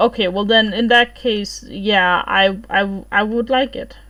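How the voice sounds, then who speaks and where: The speaker has a non-native accent and fairly even intonation. The recording is very clean, with a silent background. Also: woman. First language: not English. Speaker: streamer. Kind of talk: casual livestream chat.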